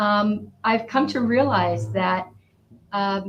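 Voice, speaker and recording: The woman's voice is somewhat breathy. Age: 60s. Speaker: author. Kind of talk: interview.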